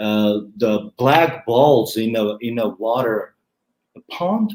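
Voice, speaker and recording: Speaking with a non-native accent, a man uses a medium pitch and ordinary pitch variation. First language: not English. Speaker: YouTube growth advisor. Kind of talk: interview.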